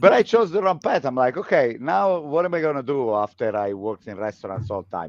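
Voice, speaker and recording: Pitch swings very widely as the speaker talks at a moderate pace. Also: man. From Italy, Pescara (Abruzzo). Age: 40s. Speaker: lifestyle coach. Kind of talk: casual interview chat.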